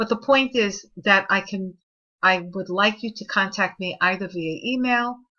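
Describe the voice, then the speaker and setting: In a New York accent, a woman speaks at a moderate pace with medium pitch. Her intonation is lively. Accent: New York City (Bronx). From New York City, Spanish Harlem and the Bronx. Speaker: college professor. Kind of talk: recorded online course lecture. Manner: conversational.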